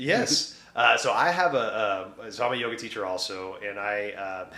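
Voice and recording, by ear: There is noticeable background noise behind a man speaking at a moderate pace with fairly low pitch. His intonation is lively, and his loudness swings widely.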